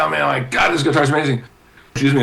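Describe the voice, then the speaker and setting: Over noticeable background noise, a man with an American accent talks very fast in a fairly high pitch and an animated tone. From Southern California. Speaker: guitarist and record company promoter. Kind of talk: casual interview storytelling. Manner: animated, halting with many repetitions.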